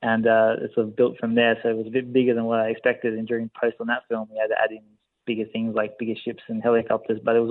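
Here a man speaks with an Australian accent at medium pitch. His pace is very fast. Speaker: film director. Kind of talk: interview.

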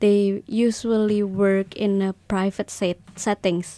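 On a very clean recording with a silent background, a woman speaks very slowly in a dark, mellow tone at a fairly high pitch. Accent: Indonesian. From Indonesia. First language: Indonesian. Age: 20s. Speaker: clinical psychologist. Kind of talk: interview.

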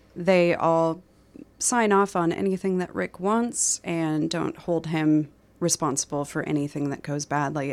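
Recorded very cleanly against a silent background, a woman speaks with a Midwestern American accent. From Minnesota, US Midwest. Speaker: novelist. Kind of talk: radio interview about her book.

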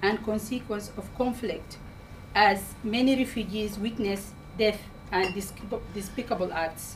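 Her pitch varies in an ordinary way as she talks. The woman's delivery is moderately paced and somewhat breathy. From Sudan. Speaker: community campaigner. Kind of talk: public speech. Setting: public meeting with audience.

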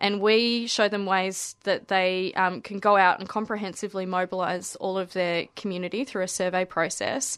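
A woman at a medium pitch with an Australian accent, monotone, flat intonation, a moderate pace and hardly any pauses. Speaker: environmental campaigner. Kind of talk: radio interview. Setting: radio studio.

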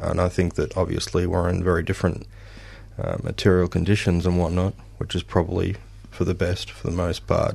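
A man speaks at a fairly quick pace with a very deep, low pitch. His intonation is monotone and flat, with vocal fry. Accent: Australian. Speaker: musician. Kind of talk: radio interview. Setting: studio.

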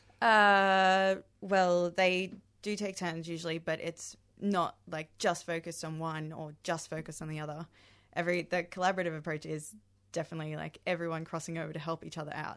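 A woman's fairly low, monotone, flat voice at a fairly quick pace, over a quiet background. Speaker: actor. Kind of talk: radio interview.

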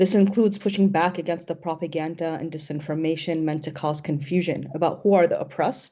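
A woman with an American accent and an unremarkable speaking voice. Her pitch sits fairly low for a woman, and her intonation stays fairly even. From Syrian American. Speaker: activist, panel moderator. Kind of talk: panel moderation, prepared speech.

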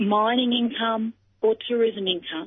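Fairly high-pitched woman's voice in an Australian accent. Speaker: rural policy advocate. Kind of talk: radio interview.

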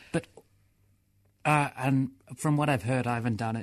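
A man with an Australian accent, speaking at a fairly quick pace. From Melbourne, Australia. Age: 20s. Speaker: person with experience of homelessness, poet. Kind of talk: radio interview; poetry reading. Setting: radio studio.

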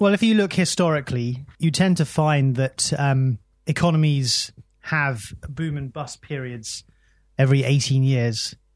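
With a British accent and a somewhat breathy, fairly high voice, a man speaks with ordinary pitch variation and long, frequent pauses over a quiet background. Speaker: economic cycles analyst. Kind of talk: radio interview. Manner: halting.

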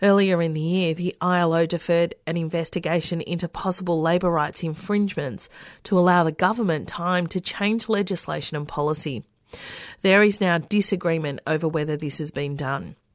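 At a fairly quick pace, a woman speaks with fairly low pitch, ordinary pitch variation and a plain, everyday voice. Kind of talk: formal radio newsreading of labour stories. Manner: measured, steady newsreader delivery.

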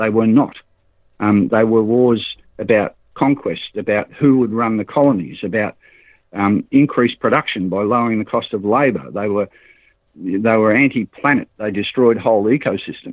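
A man speaks in an Australian accent with ordinary pitch variation. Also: medium pitch for a man, moderate pace. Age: 60s. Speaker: cooperative organiser. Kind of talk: interview. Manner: halting, repeats words.

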